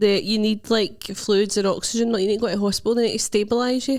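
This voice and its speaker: A woman's fairly high voice with a Scottish accent. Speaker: stand-up comedian. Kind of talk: casual podcast chat.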